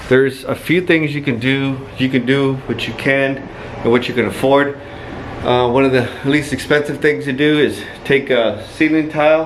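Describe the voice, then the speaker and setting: Amid noticeable background noise, a man with medium pitch talks at a moderate pace. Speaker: dental office builder. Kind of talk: tutorial. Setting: indoors, empty dental office. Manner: casual.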